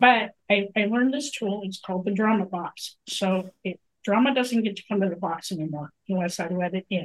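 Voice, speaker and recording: A woman's medium-pitched, ordinary speaking voice at a moderate pace, with ordinary pitch variation, hardly any pauses, and a dry, close sound with no echo. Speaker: podcast host. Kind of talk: casual chat.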